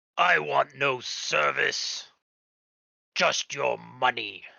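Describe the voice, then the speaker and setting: A man's booming, raspy put-on character voice at a very slow pace. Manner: menacing, gloating.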